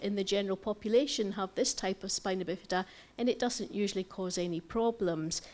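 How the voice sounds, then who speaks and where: With ordinary pitch variation, a woman talks at a very fast pace. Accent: Scottish. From Scotland. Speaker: doctor and president of a patient federation. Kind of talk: conference lecture.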